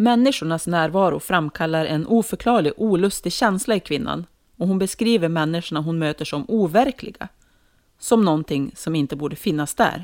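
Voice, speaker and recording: On a very clean recording with a silent background, a woman with a normal speaking voice and fairly low pitch talks at a moderate pace with lively intonation. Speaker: podcast co-host. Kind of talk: casual intro, then horror story reading.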